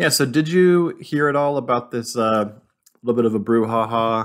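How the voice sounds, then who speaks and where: An ordinary speaking voice from a man with an American accent, medium pitch, ordinary pitch variation and moderate pace. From Southern California. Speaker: podcast co-host. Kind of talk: casual chat.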